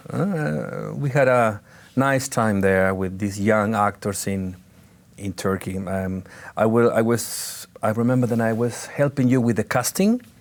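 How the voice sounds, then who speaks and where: A man with a Spanish accent speaks at a fairly low pitch and a fairly slow pace. The pitch varies in an ordinary way, and the recording is very clean with a silent background. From Chile, Santiago. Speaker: actor. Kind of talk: interview. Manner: halting, with repetitions and fillers.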